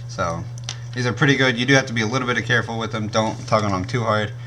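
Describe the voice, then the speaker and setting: A man races through his words very fast, with room echo and clear background noise in the recording. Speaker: YouTuber reviewing gear. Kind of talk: product review. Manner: casual, with many fillers.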